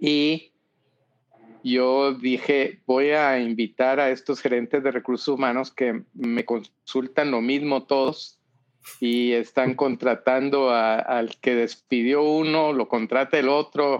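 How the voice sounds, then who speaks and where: A man talks very slowly at a medium pitch with fairly even intonation. His loudness stays very even over a quiet background. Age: 70s. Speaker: business consultant and author. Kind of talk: interview.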